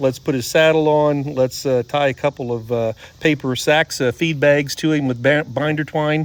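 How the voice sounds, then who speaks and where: At a moderate pace, a man speaks in a fairly high pitch with monotone, flat intonation. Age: 60s. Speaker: horse trainer. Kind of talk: casual chat.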